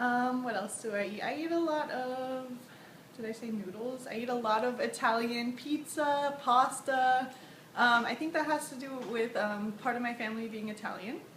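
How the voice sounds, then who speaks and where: A woman speaks at a high pitch and a moderate pace. Audible room echo colors the recording. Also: ordinary pitch variation. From Florida, US (Tampa). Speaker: interviewee. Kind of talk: casual self-introduction.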